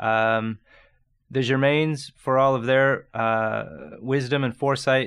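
Here is an ordinary speaking voice in a Canadian accent, with fairly even intonation. The background is quiet. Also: man. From Ontario, Canada (Niagara region). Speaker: chef. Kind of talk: interview.

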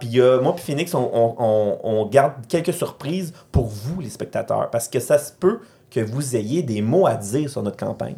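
The speaker's somewhat breathy voice moves at a fairly slow pace. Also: man. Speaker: podcast host. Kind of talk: casual chat.

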